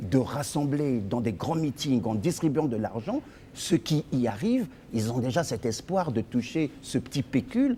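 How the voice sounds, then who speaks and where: Lively intonation marks this man's fairly slow speech. His tone is dark and mellow, and somewhat breathy. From Congo-Brazzaville, Brazzaville (Poto-Poto). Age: 50s. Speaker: lawyer and party leader. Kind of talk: interview.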